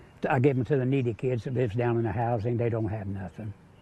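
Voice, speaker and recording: This man has a dark, mellow tone and a medium pitch. There is a somewhat breathy quality to his speech. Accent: American. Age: 80s+. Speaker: retired coal miner and pastor. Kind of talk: interview answer.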